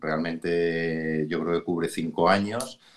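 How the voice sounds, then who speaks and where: A man at a fairly slow pace. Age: middle-aged. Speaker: business executive. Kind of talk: interview.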